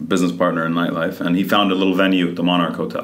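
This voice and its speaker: Audible room echo and noticeable background noise surround the voice. The man talks at a very fast pace. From Saudi Arabia (Riyadh), Lebanese parents. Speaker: nightclub owner. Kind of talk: casual chat.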